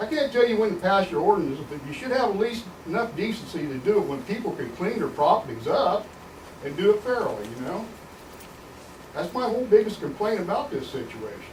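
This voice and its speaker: Over noticeable background noise and audible room echo, a man with an American accent talks at a high pitch and a fairly quick pace, his pitch swinging very widely. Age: 60s. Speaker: resident speaking at public meeting. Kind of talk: public comment at county meeting. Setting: county commissioners meeting. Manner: animated.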